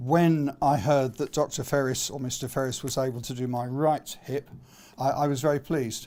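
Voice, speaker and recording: The voice has a dark, mellow tone and a monotone, flat intonation, moving at a moderate pace. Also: man. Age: 60s. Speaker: patient. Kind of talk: public talk. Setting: talk at a hospital members' event.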